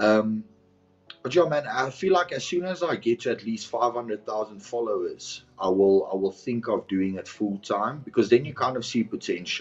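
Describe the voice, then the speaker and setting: In a South African accent, a man speaks with lively intonation. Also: medium pitch for a man, moderate pace. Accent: Afrikaans South African English. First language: Afrikaans. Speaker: content creator and personal trainer. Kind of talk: podcast interview.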